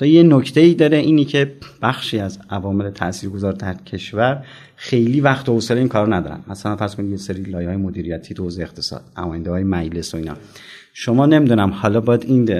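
Very fast and with lively intonation, a man speaks at a fairly low pitch in a dark, mellow tone. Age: 40s. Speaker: venture fund director. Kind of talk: interview. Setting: side of an event.

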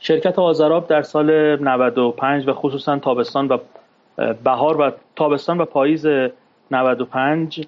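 Speaking at a fairly slow pace, a man with a fairly high pitch keeps his intonation fairly even and his loudness very even, leaving long, frequent pauses. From Iran, Tehran (Shemiran). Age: 40s. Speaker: former stockbroker and capital market expert. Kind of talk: interview, personal testimony. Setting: studio.

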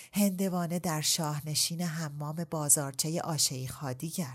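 In a very clean recording with a silent background, a woman with a very deep, low pitch sounds somewhat breathy and keeps fairly even intonation. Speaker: audiobook narrator. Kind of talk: casual interview chat.

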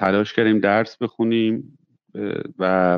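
Very slow speech from a man, with ordinary pitch variation. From Tehran, Iran. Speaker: pharmaceutical executive and physician. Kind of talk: interview.

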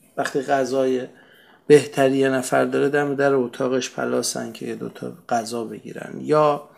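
A man speaks at a moderate pace with fairly even intonation in a normal speaking voice. The recording is very clean, with a silent background. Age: 40s. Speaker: podcast narrator. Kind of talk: solo podcast narration.

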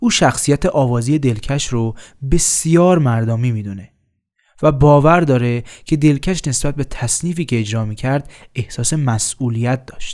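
Speaking at a moderate pace, a man uses an ordinary speaking voice with a medium pitch and ordinary pitch variation. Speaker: podcast host. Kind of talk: scripted narration.

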